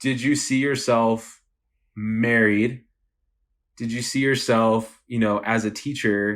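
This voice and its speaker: Very slowly and in a monotone, flat intonation, a medium-pitched man speaks with an American accent. He leaves long, frequent pauses, and the recording is very clean with a silent background. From Texas, El Paso. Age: 20s. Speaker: entrepreneur. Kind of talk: casual chat.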